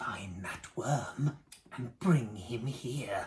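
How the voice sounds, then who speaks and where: A put-on character voice is delivered at a low-to-middle pitch. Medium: read story. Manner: commanding, menacing.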